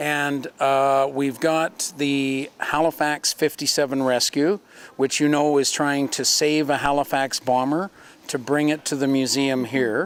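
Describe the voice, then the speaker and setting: A man with a Canadian accent, in an ordinary speaking voice: fairly high-pitched, at a fairly slow pace, with very even loudness and fairly even intonation. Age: 60s. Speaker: museum program co-host. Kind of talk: casual interview chat. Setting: in a museum.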